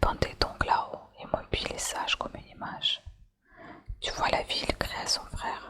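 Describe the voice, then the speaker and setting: Someone is whispering at a moderate pace. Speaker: ASMR channel host. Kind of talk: whispered ASMR story reading. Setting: candlelight and fireplace ambience. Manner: whispered, soft.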